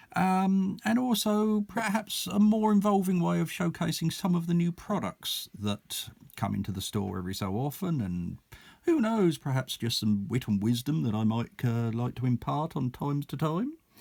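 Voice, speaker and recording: On a very clean recording with a silent background, a man with an Essex accent talks at a moderate pace, his fairly high pitch making very wide swings. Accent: broad Essex. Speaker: miniatures shop owner. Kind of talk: casual product video talk.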